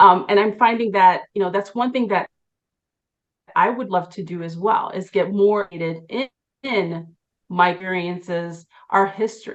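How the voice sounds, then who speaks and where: A woman at medium pitch speaks at a moderate pace with ordinary pitch variation, long, frequent pauses and big swings in loudness. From Chicago, Puerto Rican family. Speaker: lawyer, bar association president. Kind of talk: interview.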